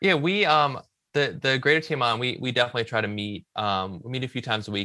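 With an American accent, a man talks in a bright, sharp tone with ordinary pitch variation against a quiet background. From US South, Richmond, Virginia. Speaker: marketing director. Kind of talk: interview.

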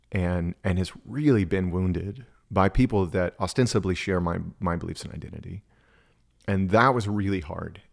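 Captured in a very clean recording with a silent background, a man with an American accent speaks in a very deep, low pitch at a moderate pace with ordinary pitch variation. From Texas. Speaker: spiritual director. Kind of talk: casual chat.

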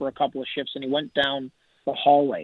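The voice is an unremarkable speaking voice. It moves at a fairly quick pace. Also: man. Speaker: hockey analyst. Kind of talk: sports interview.

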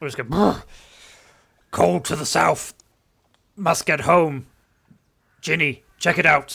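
Using a put-on character voice, a man speaks at a fairly high pitch with lively intonation and long, frequent pauses. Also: fairly slow pace. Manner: strange, horse-like.

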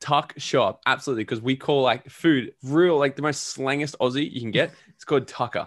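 A man with an Australian accent talks at a very fast pace, medium in pitch, with fairly even intonation. The recording is very clean, with a silent background. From Australia, Gold Coast. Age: 20s. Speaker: entrepreneur and podcaster. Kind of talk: interview.

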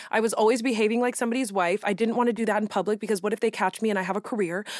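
In a dry, close sound with no echo, a woman speaks very fast, with very even loudness and fairly even intonation. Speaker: podcast co-host. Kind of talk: casual chat.

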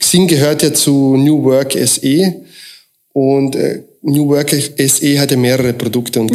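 A normal speaking voice moves at a fairly slow pace, with very even loudness and fairly even intonation. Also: man. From Austria, moved from Croatia at seven. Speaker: recruiting consultant. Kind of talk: interview.

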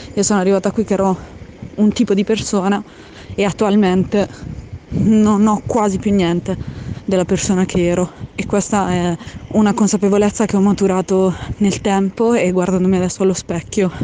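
Despite a fairly quick pace, a woman of medium pitch leaves long, frequent pauses, her intonation monotone and flat, with noticeable background noise. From Apulia, southern Italy. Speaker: listener sending voice message. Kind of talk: voice memo. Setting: outdoors on the street.

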